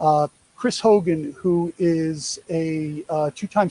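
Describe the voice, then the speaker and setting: The voice has a New York accent and a dark, mellow tone. The sound is dry and close, with no echo. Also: man. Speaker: presenter on athlete name-image-likeness deals. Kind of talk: presentation to an audience. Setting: live event at a sports field, streamed on social media. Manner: conversational, many fillers.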